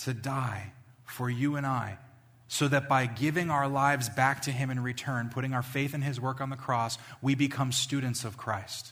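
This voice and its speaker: A man speaks at a medium pitch with fairly even intonation. Audible room echo surrounds his voice. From New York, Long Island. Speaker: pastor. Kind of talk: sermon. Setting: church.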